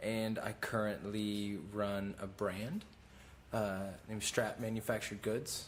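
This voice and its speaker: A man with an American accent talks at a fairly slow pace in a fairly low pitch. His intonation stays monotone and flat. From Oklahoma. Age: 20s. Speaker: clothing brand owner and former reality TV actor. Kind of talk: podcast interview. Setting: clothing factory. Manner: hesitant with many fillers.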